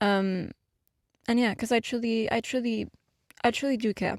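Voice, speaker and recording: A woman with a non-native accent speaks at a moderate pace on a very clean recording with a silent background. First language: not English. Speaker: YouTuber and musician. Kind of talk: podcast monologue. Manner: hesitant, many fillers.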